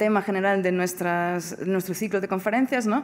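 A woman with a Portuguese accent speaks at a medium pitch. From Portugal. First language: Portuguese (speaking Spanish). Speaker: philosophy professor. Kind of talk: lecture. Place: hall. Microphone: podium.

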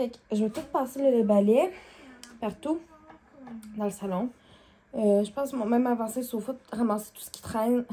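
Moving at a moderate pace with long, frequent pauses, the speaker has a Quebec accent, ordinary pitch variation and big swings in loudness. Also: woman, fairly high pitch for a woman. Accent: Québécois French. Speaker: vlogger. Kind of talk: casual vlog chat. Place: home room. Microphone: phone near.

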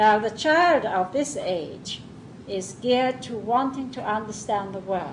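A woman's fairly high voice with lively intonation at a fairly slow pace, amid noticeable background noise. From southern England. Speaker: Montessori teacher trainer. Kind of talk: lecture. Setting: classroom with live audience.

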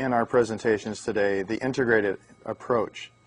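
The background stays quiet. His pitch, a man's, varies in an ordinary way. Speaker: presenter. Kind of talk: lecture. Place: studio. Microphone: lapel.

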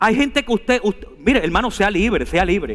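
A man's high-pitched, animated voice at a fairly quick pace. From Venezuela. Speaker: preacher. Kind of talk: sermon delivered live to a congregation, with scripture reading and calls to respond. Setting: church. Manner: animated, emphatic and exhortative, urging the congregation to repeat and stand; conversational, asides and humor, direct address. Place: church. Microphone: headset.

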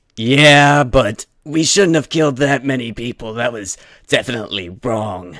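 A man does a put-on character voice at medium pitch with lively intonation. His pace is moderate. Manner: casual, bickering.

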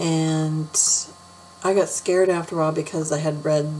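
A woman with a very deep, low pitch and fairly even intonation speaks over light background noise. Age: 40s. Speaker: beauty vlogger. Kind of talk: casual chat. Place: home room. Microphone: webcam.

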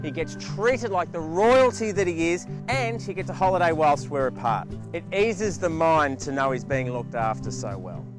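This man keeps a moderate speaking pace. Behind him, music can be heard. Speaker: TV host. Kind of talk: infomercial presenter read.

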